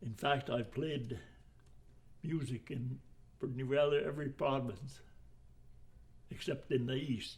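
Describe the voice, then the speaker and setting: Speaking at a fairly slow pace with long, frequent pauses, this man has a medium-pitched voice, ordinary pitch variation and some vocal fry. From Saskatchewan, Canada (Finnish family). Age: 90s. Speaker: retired woodcutter and foreman, immigrant elder. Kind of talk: oral history interview.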